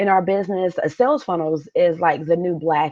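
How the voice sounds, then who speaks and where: Woman at a medium pitch and fairly quick pace, with a dark, mellow tone. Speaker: business coach. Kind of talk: live webinar masterclass. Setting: live stream.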